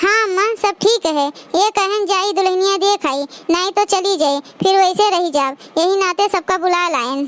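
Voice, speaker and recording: A woman puts on a cartoonish character voice at an extremely high pitch, at a moderate pace in a dry, close sound with no echo. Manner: gossipy, mocking.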